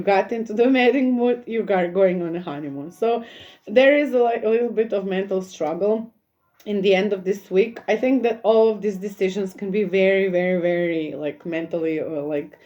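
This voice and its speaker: This is a normal speaking voice from a woman, medium in pitch. She keeps a moderate pace with ordinary pitch variation. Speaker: tarot reader. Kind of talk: tarot reading.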